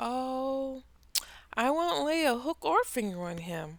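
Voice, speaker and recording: A woman puts on a character voice, pitched high with very wide swings, at a fairly slow pace. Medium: read story.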